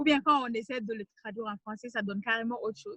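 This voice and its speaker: Her tone is bright and sharp, with fairly even intonation. The woman's pitch sits fairly high. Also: dry, close sound with no echo. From Mali. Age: 20s. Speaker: writer and NGO communications officer. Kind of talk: interview conversation. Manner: hesitant, many fillers.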